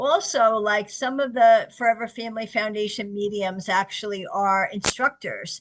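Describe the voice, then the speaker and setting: With a New York accent, a woman talks at a moderate pace with hardly any pauses, her fairly high pitch showing ordinary variation. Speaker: psychic medium. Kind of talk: interview. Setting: radio show.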